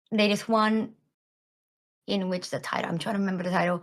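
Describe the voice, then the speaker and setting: A woman speaks with a Japanese accent. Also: very clean recording, silent background. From Japan, Tokyo. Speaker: voice actor. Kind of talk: casual chat. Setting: podcast.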